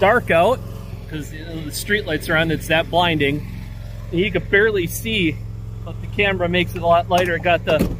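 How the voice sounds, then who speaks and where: Over noticeable background noise, a man speaks at a fairly quick pace with big swings in loudness, the sound dry with no echo. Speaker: firewood seller. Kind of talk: casual vlog chat. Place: open country. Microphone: phone near.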